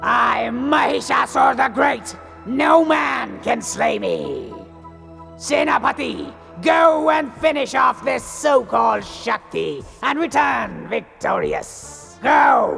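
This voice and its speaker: Over clear music in the background, a man shouts in a cartoonish character voice at a very slow pace. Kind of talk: cartoon villain bluster. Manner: arrogant, commanding.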